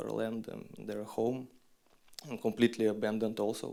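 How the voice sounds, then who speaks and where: A man speaks at a fairly low pitch with a Russian accent. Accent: non-native English, Russian. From Western Siberia, Russia. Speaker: documentary filmmaker. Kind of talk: festival Q&A talk. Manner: halting, many fillers and restarts.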